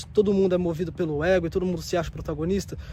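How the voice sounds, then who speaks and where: A man with a dark, mellow tone at a very fast pace. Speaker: vlogger, self-development youtuber. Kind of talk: casual vlog monologue. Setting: outdoors at a bus stop. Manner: soft-spoken, sometimes too quiet; casual, slang-filled.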